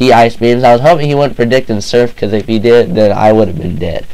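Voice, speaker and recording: A man delivers his words fairly quickly against noticeable background noise. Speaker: gamer, video game commentator. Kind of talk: casual game battle narration.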